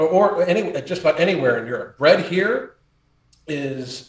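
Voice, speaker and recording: An unremarkable speaking voice with an American accent, fairly slow pace and lively intonation. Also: man. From United States. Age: 50s. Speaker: health and lifestyle coach. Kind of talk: casual chat. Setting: podcast interview.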